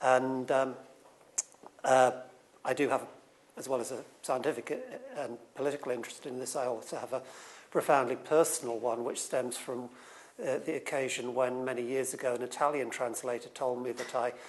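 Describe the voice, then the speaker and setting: At a moderate pace, a man with a medium pitch talks in a monotone, flat way, leaving long, frequent pauses. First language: not English. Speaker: writer on science and society. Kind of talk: conference talk. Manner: halting, many repetitions and fillers.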